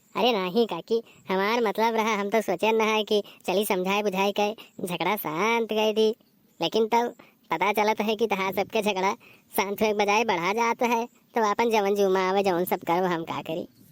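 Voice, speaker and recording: A cartoonish character voice with fairly even intonation comes through dry and close with no echo, on a very clean recording with a silent background. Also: woman, medium pitch for a woman, moderate pace. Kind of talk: comic cartoon village banter. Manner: cheeky, mischievous.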